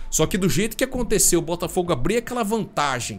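An animated man with a high pitch talks at a fairly quick pace. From Brazil. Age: 30s. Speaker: football commentator youtuber. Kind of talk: casual opinion monologue. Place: home room. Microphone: studio mic.

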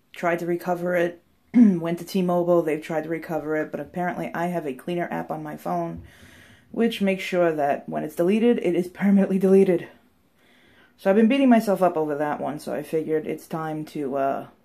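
Talking at a fairly quick pace, a woman has a fairly low voice with a dark, mellow tone. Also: ordinary pitch variation, quiet background. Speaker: bath product reviewer. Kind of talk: casual vlog chat. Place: bathroom. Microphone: phone near.

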